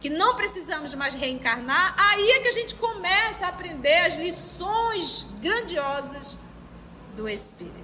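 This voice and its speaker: Amid audible room echo, a woman with an animated tone speaks at a fairly slow pace in a raised, projected voice of extremely high pitch with very wide pitch swings. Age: 50s. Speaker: spiritist study group leader. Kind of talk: religious study lecture.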